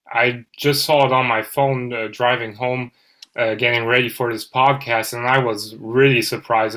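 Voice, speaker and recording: A speaker with a German accent talks at a moderate pace in a bright, sharp tone with monotone, flat intonation. The recording is very clean, with a silent background. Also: man. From Germany. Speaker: football podcaster. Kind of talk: casual chat.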